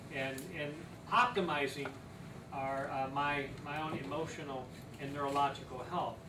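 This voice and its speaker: The pace of the speech is moderate. Noticeable noise sits in the background. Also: man. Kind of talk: lecture. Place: meeting room. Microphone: camera far.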